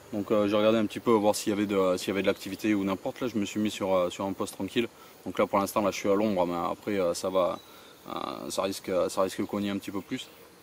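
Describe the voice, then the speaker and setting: A man speaks at a very fast pace in a fairly low pitch. His intonation stays fairly even. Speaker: carp angler vlogger. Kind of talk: casual outdoor vlog commentary. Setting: outdoors by a lake. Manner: halting, many fillers and repetitions.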